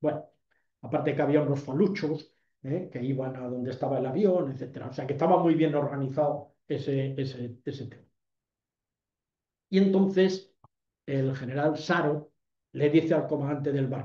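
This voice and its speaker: Speaking at a moderate pace with long, frequent pauses, a man with fairly high pitch and a somewhat breathy, dark, mellow tone keeps his intonation fairly even while his loudness swings widely. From Ceuta, Spain. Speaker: retired army general, lecturer. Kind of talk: lecture. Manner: hesitant, many fillers.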